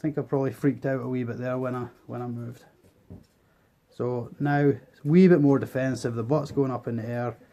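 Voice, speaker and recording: Speaking at a fairly quick pace with a Scottish accent, a man keeps a medium pitch and fairly even intonation. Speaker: tarantula keeper. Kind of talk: educational pet-care tutorial.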